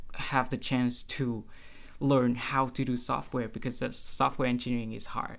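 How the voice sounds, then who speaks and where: The speaker has a Vietnamese accent. The recording is very clean, with a silent background. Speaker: computer science student. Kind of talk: interview. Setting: studio. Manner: halting.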